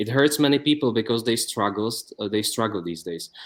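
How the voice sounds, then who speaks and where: Lively intonation marks this man's medium-pitched voice, delivered with a Czech accent. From Czech Republic. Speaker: YouTube interviewer. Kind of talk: interview. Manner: halting.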